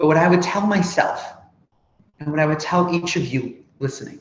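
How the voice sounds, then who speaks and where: A man's high-pitched voice at a moderate pace. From Canada, Toronto. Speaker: nonprofit executive and speaker who stutters. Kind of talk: interview. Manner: animated, dramatic intonation.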